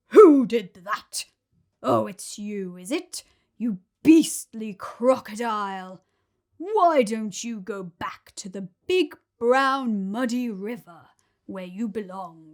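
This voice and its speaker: A woman's put-on character voice, fairly high and very slow, on a very clean recording with a silent background. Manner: indignant, scolding.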